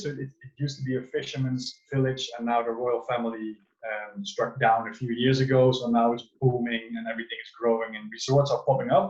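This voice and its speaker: A man's somewhat breathy, medium-pitched voice with a Dutch accent. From Netherlands. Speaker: wellness coach. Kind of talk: online talk to a group. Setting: video call.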